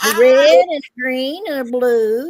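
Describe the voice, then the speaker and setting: A woman with a high voice and an Appalachian accent speaks at a very slow pace. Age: 70s. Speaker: co-host. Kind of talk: casual chat.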